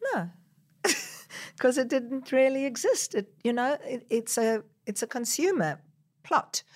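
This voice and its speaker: A woman's high-pitched voice with lively intonation, a fairly slow pace and long, frequent pauses, on a very clean recording with a silent background. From South Africa. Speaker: social entrepreneur. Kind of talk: interview.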